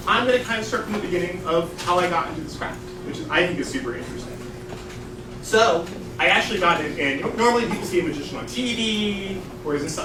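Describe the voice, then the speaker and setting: A man talks loudly at a very fast pace with an animated tone and lively intonation. Audible room echo and noticeable background noise surround him. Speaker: magician. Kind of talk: stage magic performance. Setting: stage with audience.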